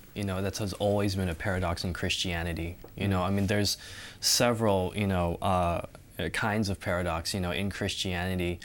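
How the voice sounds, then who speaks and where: Over a very clean recording with a silent background, a man with a very deep, low pitch talks at a fairly quick pace in a monotone, flat delivery. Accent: Californian. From Southern California. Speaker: student. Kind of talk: Bible study discussion.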